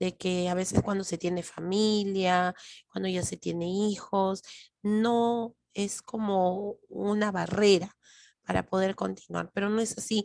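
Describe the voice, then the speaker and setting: A loud woman at medium pitch, fairly slow and monotone, with flat intonation in a dry, close sound with no echo. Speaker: lecturer. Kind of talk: lecture. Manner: trying to speak louder.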